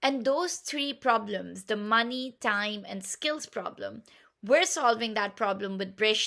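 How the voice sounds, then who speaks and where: A woman's fairly high, enthusiastic voice in a Pashto accent, fairly slow with lively intonation, in a very clean recording with a silent background. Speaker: game platform founder. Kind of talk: pitch talk.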